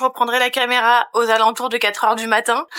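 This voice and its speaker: A woman's fairly high voice with a bright, sharp tone. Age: 30s. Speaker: vlogger. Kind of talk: casual vlog chat.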